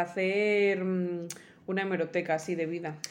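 Audible room echo surrounds a woman whose medium-pitched voice keeps a fairly even intonation. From El Bierzo, León, Spain. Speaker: podcast co-host. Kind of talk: casual chat.

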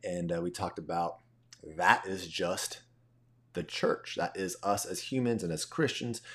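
A man's very deep, low-pitched voice with ordinary pitch variation. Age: 30s. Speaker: faith podcast host. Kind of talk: casual solo monologue. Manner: conversational with fillers.

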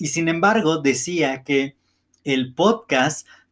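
A man speaks at a very slow pace in a fairly high pitch, with ordinary pitch variation. The recording is very clean, with a silent background. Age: 30s. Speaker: podcast host. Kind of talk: motivational monologue.

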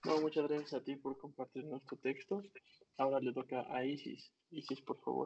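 In an ordinary speaking voice, a man talks at a moderate pace with fairly even intonation and a fairly high pitch. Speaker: online poetry reading host. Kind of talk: hosting an online poetry reading, also reading own texts. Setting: video call.

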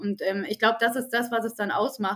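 Her intonation is monotone and flat. The woman keeps a moderate pace. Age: 30s. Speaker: HR team lead. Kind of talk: podcast interview. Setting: studio.

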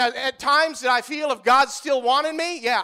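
An animated man with an American accent in a raised, projected voice, extremely high-pitched and bright and sharp in tone, on a very clean recording with a silent background. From US Midwest (northeast Iowa). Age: 30s. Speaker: pastor. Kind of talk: sermon. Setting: church.

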